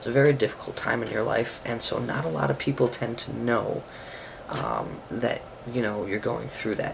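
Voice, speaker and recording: A soft-spoken man at a moderate pace, over noticeable background noise. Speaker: video blogger. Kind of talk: vlog monologue. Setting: bedroom at home. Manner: quiet, soft-spoken.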